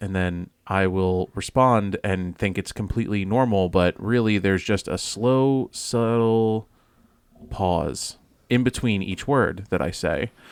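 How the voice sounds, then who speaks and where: Putting on a robotic character voice, a man speaks fairly slowly at a fairly low pitch. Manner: slow and even with small pauses between words.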